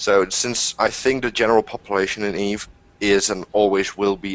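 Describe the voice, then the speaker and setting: With a Dutch accent, a man speaks at a fairly low pitch in a monotone, flat delivery. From Netherlands. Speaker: gamer. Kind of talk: casual chat.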